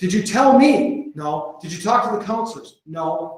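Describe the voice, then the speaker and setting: Intonation rises and falls in a lively way. The speaker talks with an American accent. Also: man. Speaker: school principal presenting to colleagues. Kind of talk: conference presentation. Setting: conference room with audience. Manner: fast.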